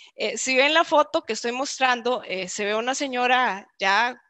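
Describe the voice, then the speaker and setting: A woman's raised, projected voice, high-pitched with a bright, sharp tone, lively intonation, a moderate pace and a dry sound with no echo. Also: quiet background. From Costa Rica, San Carlos (northern zone); Costa Rica. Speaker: marketing executive and speaker; webinar presenter. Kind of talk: virtual talk / presentation. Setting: online video event. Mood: warm, friendly. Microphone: video call.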